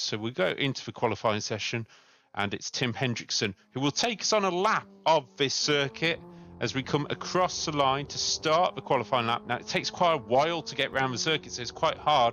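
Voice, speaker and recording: In an unremarkable speaking voice, a man of medium pitch talks at a moderate pace with lively intonation. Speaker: sim racing commentator. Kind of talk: live commentary.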